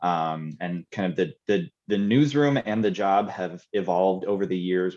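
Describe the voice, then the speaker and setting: Speaking at a moderate pace with ordinary pitch variation, a man with an American accent has a very deep, low pitch. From Chicago. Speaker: TV news reporter and producer. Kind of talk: panel discussion.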